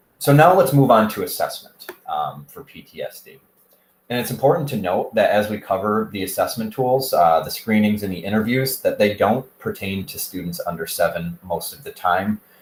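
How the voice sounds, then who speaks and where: The speech moves at a moderate pace, with big swings in loudness. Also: man. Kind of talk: educational presentation narration. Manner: casual, hesitant with fillers.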